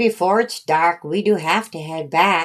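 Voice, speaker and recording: At a moderate pace, a woman uses a put-on character voice pitched fairly low. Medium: read story. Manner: warm, gentle.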